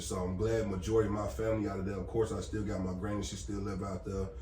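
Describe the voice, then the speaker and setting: A man talks at a very fast pace in a fairly low voice with fairly even intonation. The recording has noticeable background noise and audible room echo. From Gary, Indiana (US Midwest), moved to Texas in high school. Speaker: security company owner. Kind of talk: casual chat.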